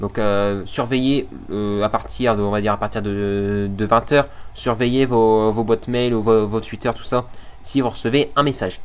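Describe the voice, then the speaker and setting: A man is speaking. His intonation is fairly even. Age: student. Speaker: electronics YouTuber. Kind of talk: casual vlog announcement. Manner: fast; hesitant, many fillers.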